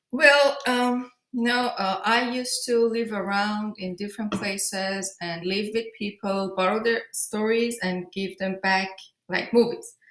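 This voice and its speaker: Speaking with a Persian accent, a woman talks at a fairly slow pace. Her pitch is fairly high and her intonation fairly even. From Iran, grew up in Tehran. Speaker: film director. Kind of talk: interview. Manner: halting.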